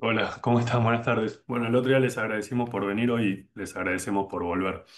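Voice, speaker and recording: With fairly even intonation and a medium pitch, a man talks very fast. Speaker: law lecturer. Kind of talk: lecture.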